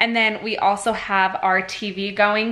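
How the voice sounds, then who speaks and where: Fairly even intonation from a female speaker. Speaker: parent vlogger. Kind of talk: casual vlog chat. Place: home room. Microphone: phone near.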